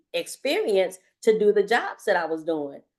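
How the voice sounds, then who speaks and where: Against a quiet background, a woman with a normal speaking voice talks at a medium pitch with ordinary pitch variation. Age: 60s. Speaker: career services staff. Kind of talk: workshop discussion.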